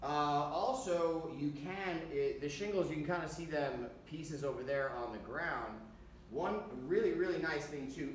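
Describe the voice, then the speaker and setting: A man's fairly slow speech with ordinary pitch variation, audible room echo and light background noise. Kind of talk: tutorial. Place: workshop. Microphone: camera far.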